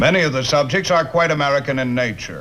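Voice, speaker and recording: Fairly high in pitch with ordinary variation, a man talks at a fairly quick pace in a normal speaking voice. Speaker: army sergeant presenter. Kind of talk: documentary introduction.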